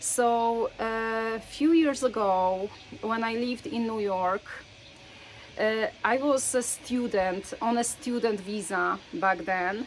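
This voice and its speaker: A woman's fairly high voice with a non-native accent, ordinary pitch variation and a very slow pace. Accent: foreign accent in English. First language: Polish. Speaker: faith storyteller. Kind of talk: personal storytelling. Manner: hesitant, frequent filler words.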